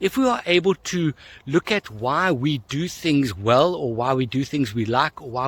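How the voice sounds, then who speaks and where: Here is a man with a plain, everyday voice at medium pitch and lively intonation. The sound is dry and close, with no echo. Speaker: coach. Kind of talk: casual talk to camera. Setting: outdoors.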